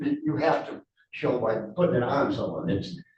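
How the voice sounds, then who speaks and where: Audible room echo follows a man who talks at a moderate pace. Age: 70s. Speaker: witness in court hearing. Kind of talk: court testimony. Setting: courtroom.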